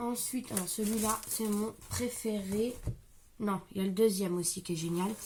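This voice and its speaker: A woman speaks fairly slowly at medium pitch. Her voice is somewhat breathy, with fairly even intonation. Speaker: crafting youtuber. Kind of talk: product haul video. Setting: at home. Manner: soft-spoken.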